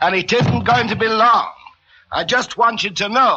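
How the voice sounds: A man's put-on character voice, high-pitched, bright and sharp in tone, fairly slow, with ordinary pitch variation.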